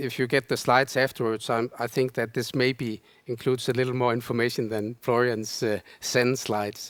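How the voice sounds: At a moderate pace, a man speaks at a medium pitch with little pitch movement.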